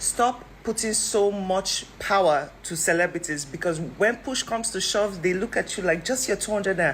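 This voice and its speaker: A woman's medium-pitched voice with ordinary pitch variation, amid noticeable background noise. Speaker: online commentator. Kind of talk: casual commentary monologue. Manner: fast; animated.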